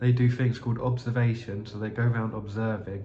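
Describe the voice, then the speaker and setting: In a southern English accent, a man talks at a moderate pace with monotone, flat intonation. Room echo is audible. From southern England (Slough). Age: 30s. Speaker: youtuber. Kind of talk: unscripted monologue. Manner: halting.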